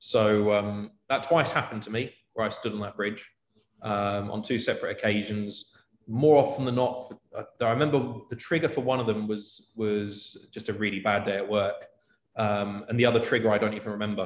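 Speaking with a London accent, a man keeps his intonation fairly even. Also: medium pitch for a man, moderate pace. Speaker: corporate travel manager. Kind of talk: interview.

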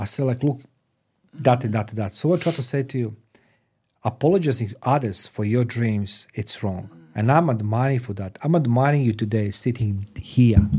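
A man with a non-native accent speaks at a medium pitch and a moderate pace, his voice somewhat breathy with a dark, mellow tone. Pitch varies in an ordinary way, and the recording is very clean with a silent background. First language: not English. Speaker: podcast host. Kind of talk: interview. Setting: studio.

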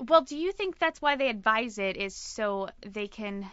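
Fairly high in pitch, a woman speaks in a normal speaking voice with lively intonation. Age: 20s. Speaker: podcast co-host. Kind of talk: casual chat.

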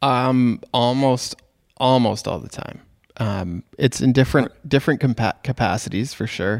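A man with a plain, everyday voice and a Canadian accent speaks at a medium pitch and a fairly slow pace, his loudness swinging widely, on a very clean recording with a silent background and a dry, close sound with no echo. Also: ordinary pitch variation. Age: 30s. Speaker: podcast host and wedding photographer. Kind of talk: casual interview.

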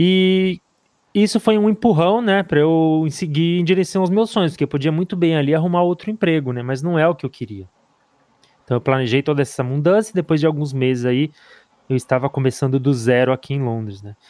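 A man's dark, mellow, fairly high voice at a fairly quick pace with lively intonation, in a dry, close sound with no echo. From Brazil. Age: 30s. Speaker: podcast co-host. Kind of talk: interview.

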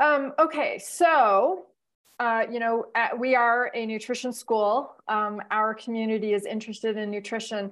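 Fairly high in pitch, this woman's voice varies in an ordinary way. She proceeds at a fairly slow pace. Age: 50s. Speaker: podcast host, nutrition school director. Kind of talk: interview. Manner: halting, many fillers.

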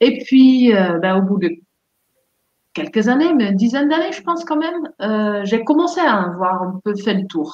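A somewhat breathy woman with a Dutch accent, fairly high-pitched, speaking fairly slowly with very wide pitch swings. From Netherlands. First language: Dutch (speaking French). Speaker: therapist and life coach. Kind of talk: casual interview.

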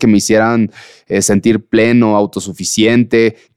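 A man with an unremarkable speaking voice, at a medium pitch and fairly slow pace, with a dry, close sound, no echo, and a quiet background. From Mexico. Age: 30s. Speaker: blind mountaineer and ultra-endurance athlete. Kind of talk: casual interview.

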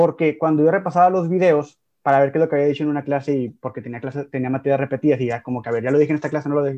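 Against a quiet background, a man talks very fast with hardly any pauses, his fairly high pitch carrying a dark, mellow tone and fairly even intonation. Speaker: podcast co-host, teacher. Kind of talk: casual chat.

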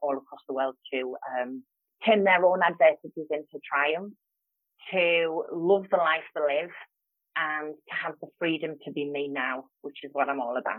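A woman with a Geordie accent speaks at a moderate pace. Her pitch is low and her intonation fairly even.

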